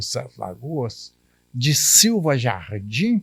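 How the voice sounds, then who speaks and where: A man's somewhat breathy, fairly high voice on a very clean recording with a silent background. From Minas Gerais, Brazil (Curvelo region). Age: 80s+. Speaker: retired civil servant and writer. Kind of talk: interview testimony.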